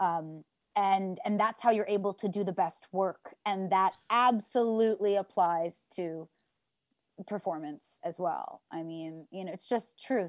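A woman with an American accent and a normal speaking voice talks at a fairly slow pace and medium pitch, with ordinary pitch variation. Her loudness swings widely against a quiet background. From US Northeast, near Utica, New York. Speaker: Broadway actress and singer. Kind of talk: casual chat.

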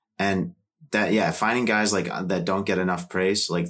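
At a fairly quick pace, a man talks with a low pitch and a fairly bright tone.

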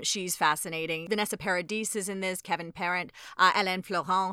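Very fast and bright, sharp in tone, a woman at medium pitch talks with ordinary pitch variation. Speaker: podcast host. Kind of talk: casual interview chat.

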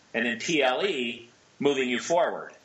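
A man speaks with an American accent at a moderate pace. His pitch varies in an ordinary way over noticeable background noise. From US Pacific Northwest, Seattle. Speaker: entrepreneur and author. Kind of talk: casual chat.

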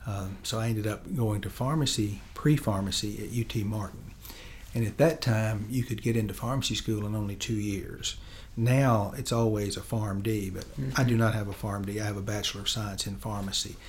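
In a West Tennessee accent, a man talks at a fairly low pitch, somewhat breathy. Room echo is audible. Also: ordinary pitch variation, moderate pace. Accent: Southern US (West Tennessee). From West Tennessee, Chester County. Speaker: state supreme court justice. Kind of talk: interview. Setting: studio.

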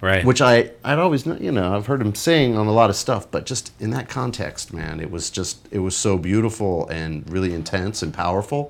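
Using a plain, everyday voice, a man with an American accent and a fairly low pitch speaks at a moderate pace with lively intonation and hardly any pauses. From Los Angeles, US West Coast. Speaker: musician and record producer. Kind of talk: casual chat.

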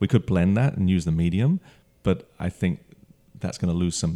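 A man's very deep, low voice with a dark, mellow tone, lively intonation and a fairly quick pace, in a dry, close sound with no echo. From London, England. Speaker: brewer. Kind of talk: interview.

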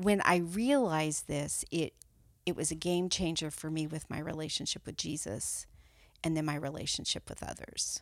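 A woman uses a normal speaking voice, fairly low in pitch, with ordinary pitch variation at a moderate pace. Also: very clean recording, silent background. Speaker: life coach. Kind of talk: podcast interview.

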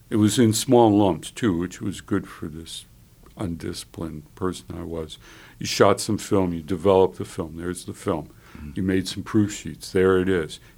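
At a moderate pace, a man with a very deep, low pitch speaks in a fairly even intonation while his loudness swings widely. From Chicago. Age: 70s. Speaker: photographer and retired teacher. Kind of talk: casual conversation. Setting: radio station studio.

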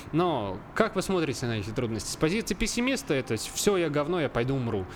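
Very wide pitch swings from a man with a fairly high voice, delivered at a moderate pace. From central Russia, Obninsk (Kaluga region). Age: 20s. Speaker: videographer. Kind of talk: casual chat. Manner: halting.

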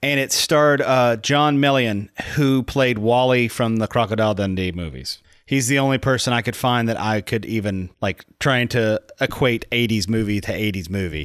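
A man with a plain, everyday voice of medium pitch shows ordinary pitch variation on a very clean recording with a silent background. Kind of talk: casual podcast banter. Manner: jokey, quick-witted, interjecting.

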